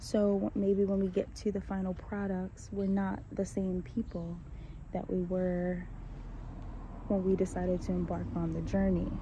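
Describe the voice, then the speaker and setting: A woman speaks at a fairly slow pace. She is soft-spoken. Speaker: vlogger. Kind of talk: casual monologue. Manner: hesitant, many fillers.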